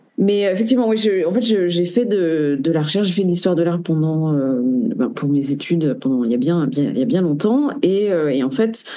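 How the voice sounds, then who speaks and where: The speech moves at a fairly quick pace with very wide pitch swings and very even loudness, with audible room echo and noticeable background noise. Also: woman, fairly low pitch for a woman. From France. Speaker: tarot reader and researcher. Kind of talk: interview. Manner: halting, many hesitations.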